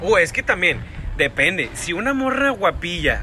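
Over noticeable background noise, a man speaks at a fairly slow pace in an animated tone. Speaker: podcast co-host. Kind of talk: casual chat.

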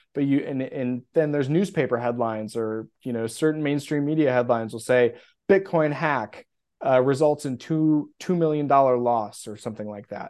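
In a normal speaking voice, the speaker goes at a moderate pace with ordinary pitch variation against a quiet background. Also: man, medium pitch for a man. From US Midwest. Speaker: bitcoin custody specialist. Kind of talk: casual interview.

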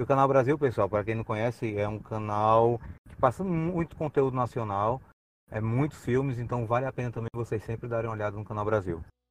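Over a quiet background, a man uses a normal speaking voice at a fairly quick pace with ordinary pitch variation. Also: medium pitch for a man. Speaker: podcast panelist. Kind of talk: casual chat.

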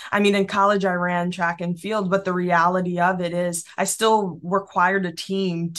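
In a very clean recording with a silent background, an unremarkable speaking voice with an American accent talks at a moderate pace. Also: woman. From Massachusetts, Springfield. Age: 20s. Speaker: business founder. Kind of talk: interview.

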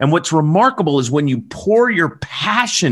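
Speaking in a Southern US accent, a man uses an animated tone and very wide pitch swings at a fairly slow pace. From US South, southern Alabama. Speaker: podcast co-host. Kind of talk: casual chat. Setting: live stream.

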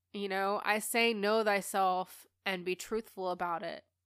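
A woman speaks at a very slow pace and medium pitch. The sound is dry and close with no echo, on a very clean recording with a silent background. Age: 30s. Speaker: podcast host and spiritual coach. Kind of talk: casual solo monologue. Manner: candid, with frequent laughter.

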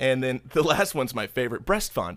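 This man has a normal speaking voice at a fairly high pitch, with ordinary pitch variation. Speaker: podcast host. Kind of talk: casual banter podcast chat. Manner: jokey, irreverent.

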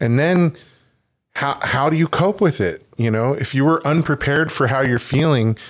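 On a very clean recording with a silent background, a man talks at a moderate pace in a fairly high pitch. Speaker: podcast host. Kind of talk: podcast discussion, hosting. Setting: studio, around a table.

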